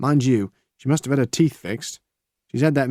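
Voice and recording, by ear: The background is silent apart from the voice. The text is read aloud naturally.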